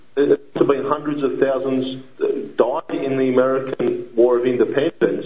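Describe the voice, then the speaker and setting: A man with an Australian accent speaks at a fairly slow pace over noticeable background noise. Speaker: caller, activist. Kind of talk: radio call-in. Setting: phone call.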